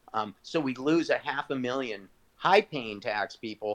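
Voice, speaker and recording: Dry and close with no echo, a man at a medium pitch uses an ordinary speaking voice with ordinary pitch variation. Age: 40s. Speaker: entrepreneur. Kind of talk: casual chat. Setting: video call.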